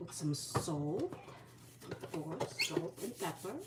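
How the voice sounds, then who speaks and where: There is noticeable background noise as a woman speaks at a fairly low pitch. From Philippines. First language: Bisaya. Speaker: vlogger, retired mother. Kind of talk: casual cooking vlog. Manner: chatty, rambling self-corrections.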